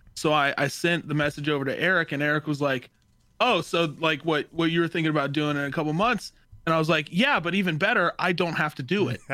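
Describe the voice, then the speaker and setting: Very fast speech comes from a man with a fairly high pitch and a bright, sharp tone. His pitch varies in an ordinary way, and the recording is very clean with a silent background. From Dallas. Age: 20s. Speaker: podcast co-host. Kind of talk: casual chat.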